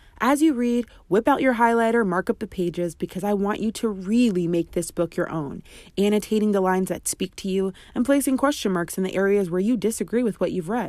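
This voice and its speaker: In a very clean recording with a silent background, a woman speaks at a medium pitch and a fairly quick pace, her pitch varying in an ordinary way. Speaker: podcast host and author. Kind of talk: audiobook reading of a memoir-style book chapter, then promo. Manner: expressive, dramatic storytelling, confiding and warm; direct, earnest, encouraging.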